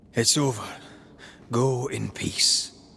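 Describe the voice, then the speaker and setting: A put-on character voice. It sits at a low-to-middle pitch. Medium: video game. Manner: terse.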